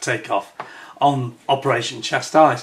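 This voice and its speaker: A man with a British accent and ordinary pitch variation. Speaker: YouTuber, aviation history enthusiast. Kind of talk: casual video talk to camera. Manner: hesitant, many fillers.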